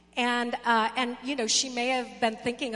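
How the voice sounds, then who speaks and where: A woman speaks over noticeable background noise. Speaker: pastor. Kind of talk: sermon. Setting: church.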